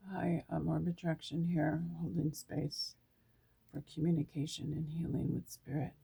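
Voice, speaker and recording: At a moderate pace, a woman talks with vocal fry and monotone, flat intonation. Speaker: tarot card reader. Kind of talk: oracle card reading. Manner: halting.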